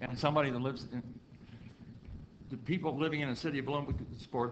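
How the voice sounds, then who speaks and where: A man at a very fast pace with fairly even intonation, amid audible room echo. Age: 60s. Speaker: county council member. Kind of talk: public meeting debate. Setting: council meeting.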